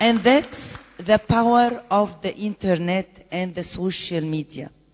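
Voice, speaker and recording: The speech comes at a very slow pace, with noticeable background noise behind it. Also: woman, medium pitch for a woman, ordinary pitch variation. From Egypt. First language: Arabic. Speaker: conference panelist, presidential candidate. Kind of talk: conference panel talk. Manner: halting.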